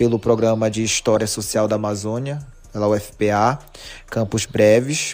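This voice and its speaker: Over music in the background, a man speaks fairly slowly at medium pitch with ordinary pitch variation. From Brazil, Pará, Marajó (Muaná). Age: 20s. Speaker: teacher and history researcher. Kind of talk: podcast interview.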